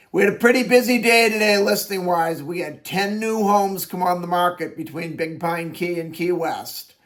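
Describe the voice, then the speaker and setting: Over noticeable background noise, a man talks in a high voice. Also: ordinary pitch variation, moderate pace, hardly any pauses. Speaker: real estate agent. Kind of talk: daily real estate listing video. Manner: casual, conversational.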